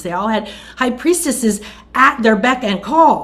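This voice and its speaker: Somewhat breathy and animated, a woman talks at a moderate pace with very wide pitch swings amid audible room echo. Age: 60s. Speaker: spiritual teacher. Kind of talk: interview.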